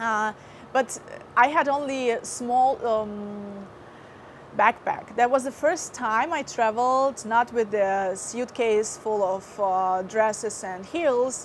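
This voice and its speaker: In a Russian accent, a woman speaks at a very slow pace, her fairly high pitch showing ordinary variation. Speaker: former TV host. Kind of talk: interview testimony. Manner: hesitant, many fillers.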